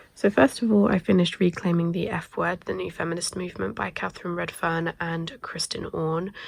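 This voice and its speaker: Vocal fry colors this woman's fairly low pitch, which moves with ordinary variation. She talks at a fairly quick pace with hardly any pauses. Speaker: book vlogger. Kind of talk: casual vlog talk. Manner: hesitant, many fillers.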